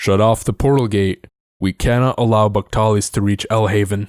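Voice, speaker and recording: A put-on character voice from a man, fairly low in pitch, monotone and flat, at a moderate pace. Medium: read story. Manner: commanding.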